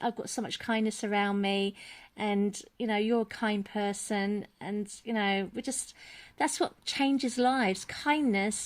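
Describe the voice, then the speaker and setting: A woman with an unremarkable speaking voice talks at a fairly slow pace in a fairly high pitch. The recording is very clean, with a silent background. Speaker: parent and education campaigner. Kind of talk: casual talk to camera.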